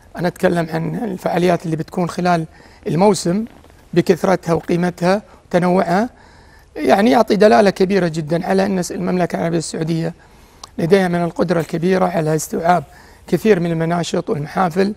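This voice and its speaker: Speaking at a fairly quick pace, a man uses a high-pitched voice. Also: fairly even intonation. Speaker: former footballer turned pundit. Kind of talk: TV sports panel discussion. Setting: TV studio. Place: studio.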